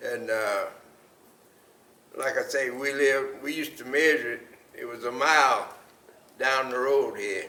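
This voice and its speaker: A man with an American accent speaks at a fairly slow pace, leaving long, frequent pauses. Audible room echo surrounds his voice. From US South, Mooresville, North Carolina. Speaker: oral history interviewee. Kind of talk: oral history interview.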